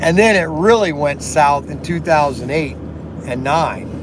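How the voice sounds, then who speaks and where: Over noticeable background noise and audible room echo, a man with a fairly high pitch speaks at a moderate pace in an animated tone with lively intonation. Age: 60s. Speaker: slot car shop owner and live streamer. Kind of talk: casual live stream chat. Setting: live stream at work. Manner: halting, repetitive with many fillers.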